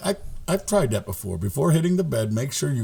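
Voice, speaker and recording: A man speaks in a dark, mellow, somewhat breathy tone with very wide pitch swings. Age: 60s. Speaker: podcast co-host. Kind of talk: casual chat.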